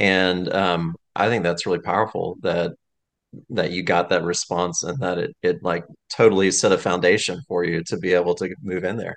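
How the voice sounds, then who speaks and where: A man's very deep, low voice in a monotone, flat intonation at a moderate pace, against a quiet background. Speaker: podcast host. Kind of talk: casual chat.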